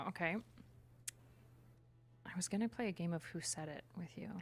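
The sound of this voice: A woman's fairly low voice on a very clean recording against a silent background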